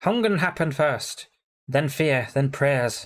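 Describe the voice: A man puts on a hoarse character voice with a fairly high pitch. He speaks at a fairly slow pace.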